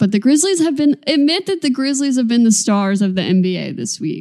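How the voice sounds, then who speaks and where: A woman's dark, mellow, somewhat breathy tone, lively in intonation and fairly quick. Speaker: basketball podcast co-host. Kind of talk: casual chat. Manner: energetic.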